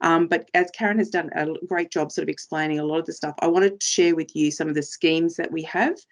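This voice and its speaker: A woman with an Australian accent talks very fast with hardly any pauses. Her pitch is fairly low and her intonation fairly even. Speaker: trainer for frontline workers, former police officer. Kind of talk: presentation.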